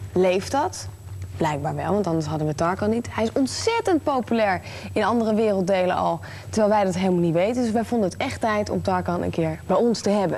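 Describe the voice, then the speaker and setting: Noticeable background noise surrounds a woman who speaks at a very fast pace. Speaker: TV presenter. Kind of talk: TV interview.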